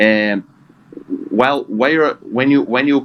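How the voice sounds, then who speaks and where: A man talks with a Portuguese accent. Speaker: trading group member. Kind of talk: group discussion. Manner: halting.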